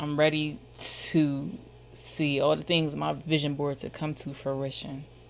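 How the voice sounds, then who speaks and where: A woman's very deep, low voice in a Philadelphia accent, at a very slow pace. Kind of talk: casual slang. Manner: casual, profane, repetitive.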